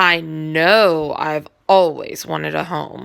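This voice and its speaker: A woman uses a put-on character voice pitched very deep and low. She speaks at a very slow pace. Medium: read story. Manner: wondering, innocent.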